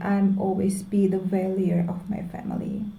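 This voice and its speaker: At a fairly slow pace, a woman speaks in a medium pitch with a dark, mellow, somewhat breathy tone, and room echo is audible. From Indonesia. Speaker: vlogger. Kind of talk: personal vlog monologue. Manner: halting.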